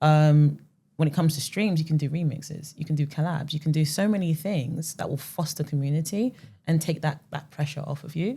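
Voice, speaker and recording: In a London accent, a woman speaks at a fairly quick pace with a very deep, low pitch and fairly even intonation. Her tone is dark and mellow, and somewhat breathy. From West London, England. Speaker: music marketing founder, ex-platform strategist. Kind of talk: podcast interview.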